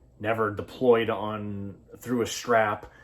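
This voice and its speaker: With fairly even intonation and a fairly low pitch, a man talks amid audible room echo. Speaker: fishing channel host. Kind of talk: casual product review talk. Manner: halting, many fillers.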